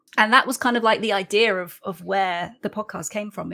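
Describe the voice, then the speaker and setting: In a very clean recording with a silent background, a woman with a British accent and a bright, sharp tone speaks fairly quickly with fairly even intonation. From UK. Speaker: podcast host. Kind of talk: casual chat.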